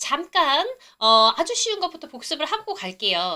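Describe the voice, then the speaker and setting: A woman's raised, projected voice carries a bright, sharp tone and very wide pitch swings. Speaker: English test-prep instructor. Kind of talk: live online lecture. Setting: livestream. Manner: animated, chatty.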